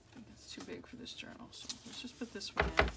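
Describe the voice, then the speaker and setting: A woman mumbling at a fairly quick pace over noticeable background noise. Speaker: crafter, journal maker. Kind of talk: casual crafting tutorial. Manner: mumbling, thinking out loud.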